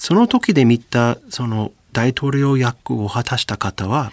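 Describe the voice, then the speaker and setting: Here a man speaks with an English accent. The sound is dry and close, without echo. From US South, Louisiana. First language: English (speaking Japanese). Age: 40s. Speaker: professor. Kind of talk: radio interview.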